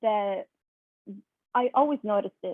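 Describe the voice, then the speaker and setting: A fairly high-pitched woman in a Spanish accent, with ordinary pitch variation. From Italy. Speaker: high school teacher. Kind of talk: personal testimony in online workshop. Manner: halting, many fillers.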